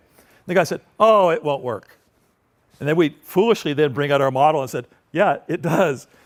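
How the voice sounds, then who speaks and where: With lively intonation and a fairly high pitch, a man talks at a fairly quick pace. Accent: American. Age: 60s. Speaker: industrial designer and entrepreneur. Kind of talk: public talk with audience Q&A. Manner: casual, conversational with fillers.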